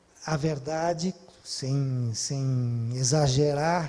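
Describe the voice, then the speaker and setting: Pitch shifts in an ordinary manner. Dark and mellow is the tone. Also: man. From southern Brazil. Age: 70s. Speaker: cultural manager. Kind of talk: talk. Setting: online event. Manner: hesitant.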